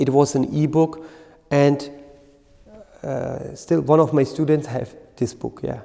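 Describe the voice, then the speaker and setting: Long, frequent pauses from a man with a German accent, his fairly high voice flat and monotone. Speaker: qigong teacher. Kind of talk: lecture. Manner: halting.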